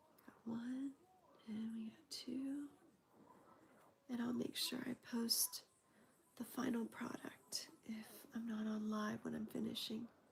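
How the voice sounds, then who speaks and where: A woman speaks at a fairly slow pace with long, frequent pauses and a monotone, flat intonation. Her pitch is fairly high, and noticeable background noise is present. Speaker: crochet livestreamer. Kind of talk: crochet tutorial livestream. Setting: live stream.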